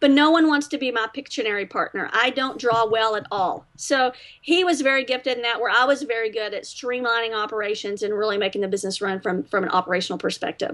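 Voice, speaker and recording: A woman speaks very fast with a Southern accent and hardly any pauses. Her intonation is lively. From Texas. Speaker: business owner. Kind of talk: interview.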